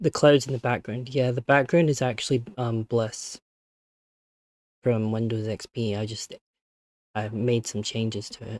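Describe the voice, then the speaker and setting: Soft-spoken, a man talks at a medium pitch with fairly even intonation and long, frequent pauses. The recording is very clean with a silent background, dry and close with no echo. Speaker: vtuber streamer. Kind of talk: live stream chat. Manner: halting.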